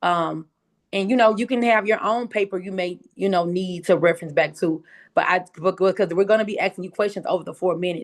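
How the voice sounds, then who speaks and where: Someone with a strong Southern US accent talks at a fairly quick pace, pitch varying in an ordinary way, against a quiet background. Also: woman. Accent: strong Southern country. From US South, Memphis, Tennessee. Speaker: pitch competition coach and host. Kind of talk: instructional talk on a video call. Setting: video call. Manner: casual, chatty.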